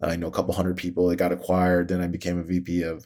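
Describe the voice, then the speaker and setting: The background is completely silent on a very clean recording. The speaker is a man. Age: 40s. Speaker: guest podcast host. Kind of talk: interview, casual chat.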